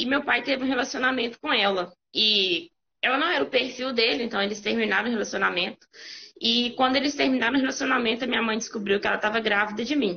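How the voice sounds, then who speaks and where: At a very fast pace, a woman talks in a fairly high pitch with ordinary pitch variation and very even loudness. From Brazil, Minas Gerais interior (Caeté). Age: 20s. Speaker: guest sharing life testimony. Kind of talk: testimony.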